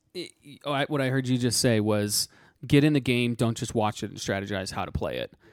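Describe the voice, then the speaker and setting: An unremarkable speaking voice from a man at medium pitch, fairly quick in pace, with ordinary pitch variation. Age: 20s. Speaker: financial podcast co-host. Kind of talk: casual chat.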